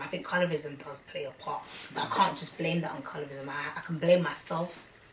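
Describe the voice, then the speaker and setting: Noticeable background noise and audible room echo surround this woman. Her pitch sits fairly low and her intonation stays fairly even. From London (Hackney). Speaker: rapper. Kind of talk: interview. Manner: casual, slangy.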